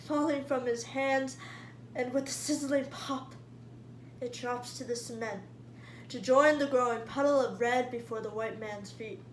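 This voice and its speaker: Noticeable background noise surrounds a woman speaking at a fairly slow pace. She leaves long, frequent pauses. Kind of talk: spoken word poetry performance.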